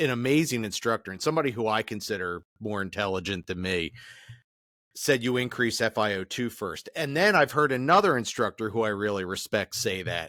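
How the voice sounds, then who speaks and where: An American accent marks this man's voice, bright and sharp in tone. He moves at a fairly quick pace. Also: dry, close sound with no echo, very clean recording, silent background. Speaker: podcast host, flight medic instructor. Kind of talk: podcast interview.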